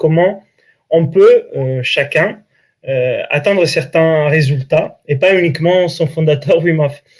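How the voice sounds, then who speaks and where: A man with an Italian accent, fairly high pitch and ordinary pitch variation. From Italy, Italian coast. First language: Italian (speaking French). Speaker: breathing coach and author. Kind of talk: interview.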